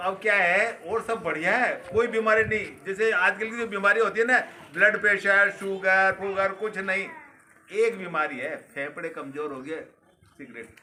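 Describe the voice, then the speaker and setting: A man's high-pitched, raised, projected voice over noticeable background noise. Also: ordinary pitch variation. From Rajasthan, Sawai Madhopur area. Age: 60s. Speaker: retired man revisiting childhood village. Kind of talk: casual chat.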